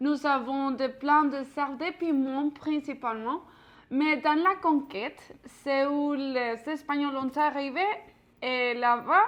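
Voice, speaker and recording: A woman's high-pitched voice with a Mexican accent, very slow and fairly even in intonation. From Mexico. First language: Spanish (speaking French). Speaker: pastry chef teaching a cooking class. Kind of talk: cooking class. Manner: halting, many fillers.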